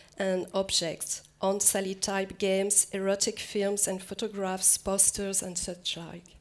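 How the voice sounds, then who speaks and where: At a fairly slow pace, a woman speaks in a flat monotone with hardly any pauses. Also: medium pitch for a woman. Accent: French. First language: French. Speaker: museum curator. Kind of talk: lecture. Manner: halting, repeats words.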